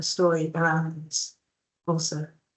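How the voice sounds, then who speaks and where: Fairly low in pitch, a woman with a British accent speaks fairly slowly in a monotone, flat intonation. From England, UK. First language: Mauritian Creole. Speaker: novelist. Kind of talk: literary panel discussion. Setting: stage with audience. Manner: halting, many fillers.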